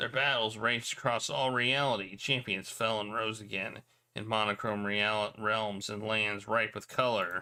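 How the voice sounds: The reading voice sounds natural.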